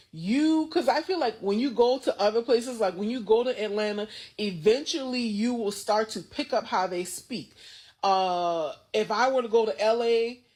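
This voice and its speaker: A woman with an American accent, fairly high-pitched and animated, with lively intonation at a moderate pace, in a very clean recording over a silent background. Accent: Gullah Geechee dialect. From US South, Gullah Geechee region (coastal South Carolina/Georgia). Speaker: TikTok creator. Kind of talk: casual commentary video.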